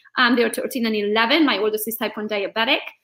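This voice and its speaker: A woman with a Hungarian accent speaks in a high pitch with a bright, sharp tone. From Transylvania, Romania (Hungarian). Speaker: real estate agent and social media coach. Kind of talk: interview. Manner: animated.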